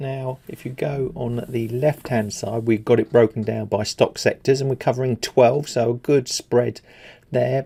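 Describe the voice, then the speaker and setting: A man with an English accent speaks at a medium pitch in a dark, mellow tone, his pitch varying in an ordinary way. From England. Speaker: stock market commentator. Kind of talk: market analysis video. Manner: casual, with many fillers.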